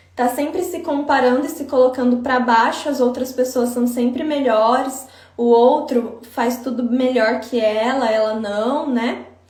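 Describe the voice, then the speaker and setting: A high-pitched woman at a fairly slow pace, ordinary pitch variation, audible room echo and noticeable background noise. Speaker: psychologist. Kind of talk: live stream talk. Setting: Instagram live.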